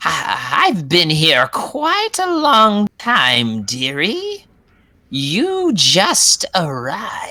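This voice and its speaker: A put-on character voice, fairly high in pitch, delivered at a very slow pace. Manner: cackling, mocking.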